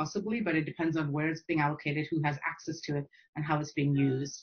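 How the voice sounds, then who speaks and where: A woman's fairly low, somewhat breathy voice at a fairly quick pace. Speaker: academic geographer. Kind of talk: panel Q&A answer. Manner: fast; hesitant, many fillers.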